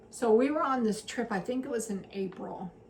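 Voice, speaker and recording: Noticeable background noise is present as a woman talks. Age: 60s. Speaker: retired teacher and homesteading vlogger. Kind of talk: casual chat.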